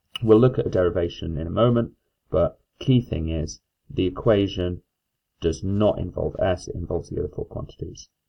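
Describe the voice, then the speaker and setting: A man with a fairly low pitch speaks at a moderate pace. His voice is somewhat breathy, with ordinary pitch variation. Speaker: maths teacher. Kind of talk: lecture. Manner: hesitant fillers.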